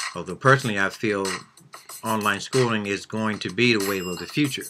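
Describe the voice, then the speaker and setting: A man's pitch varies in an ordinary way as noticeable background noise runs underneath. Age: 60s. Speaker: vlogger and art student. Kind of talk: personal monologue.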